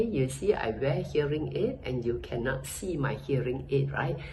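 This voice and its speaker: A woman talks at a fairly slow pace. Audible room echo and noticeable background noise surround her voice. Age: 80s+. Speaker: customer giving a product review. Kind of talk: testimonial. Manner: hesitant, with fillers.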